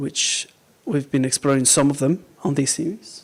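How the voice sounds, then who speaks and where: In a very clean recording with a silent background, a man with a Mexican accent speaks at a fairly slow pace. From Mexico. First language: Spanish. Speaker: Buddhist teacher. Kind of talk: dharma talk to a small group. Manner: mumbles sometimes; halting, many fillers.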